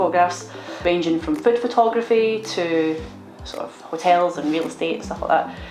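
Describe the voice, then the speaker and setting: Very fast and fairly low-pitched, a woman speaks in a Scottish accent with ordinary pitch variation. Room echo is audible and background noise is noticeable. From Scotland, Glasgow. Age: 30s. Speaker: photographer, vlogger. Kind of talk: casual vlog chat. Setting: studio.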